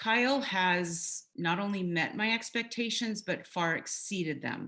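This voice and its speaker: A woman's loud, bright, sharp voice at a fairly slow pace, with ordinary pitch variation. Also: medium pitch for a woman. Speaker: realtor. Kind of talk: testimonial interview. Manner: animated.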